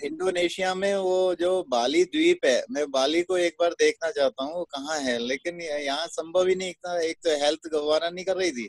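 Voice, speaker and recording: A man's high voice with ordinary pitch variation and hardly any pauses, in a dry, close sound with no echo. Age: 60s. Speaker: network marketing distributor. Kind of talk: interview testimony. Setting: video call.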